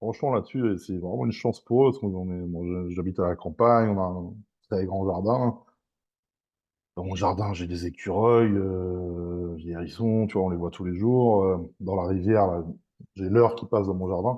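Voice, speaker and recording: Very deep, low male voice at a moderate pace with ordinary pitch variation. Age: 30s. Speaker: strongman athlete. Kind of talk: podcast interview. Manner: casual, hesitant with many fillers.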